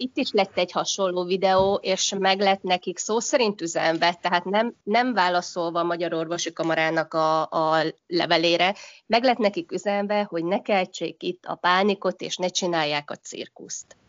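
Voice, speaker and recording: A woman speaks at medium pitch and a moderate pace. Her pitch varies in an ordinary way. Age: 40s. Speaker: hotel industry professional. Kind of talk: casual interview.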